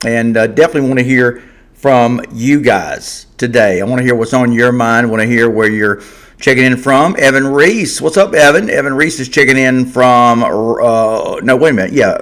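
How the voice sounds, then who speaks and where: In an American accent, a man talks at a moderate pace and medium pitch with ordinary pitch variation. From Georgia, US South. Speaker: sports podcast host. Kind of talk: live stream sports talk show. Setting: live stream. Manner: casual, conversational.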